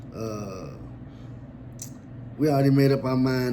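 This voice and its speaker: Fairly even intonation at a moderate pace, with noticeable background noise and audible room echo. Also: man. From Louisville, Kentucky. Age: 40s. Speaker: storyteller, YouTuber. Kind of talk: casual storytelling monologue.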